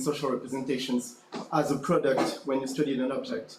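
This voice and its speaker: Audible room echo surrounds the man's voice. There is also noticeable background noise. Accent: French. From France. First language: French. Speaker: academic conference audience member. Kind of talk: conference Q&A question. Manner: halting.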